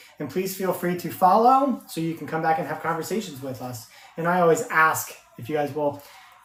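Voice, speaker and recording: The man's intonation is lively. Noticeable background noise can be heard throughout. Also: fairly high pitch for a man. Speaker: podcast co-host. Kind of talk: casual chat. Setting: live stream. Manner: loud.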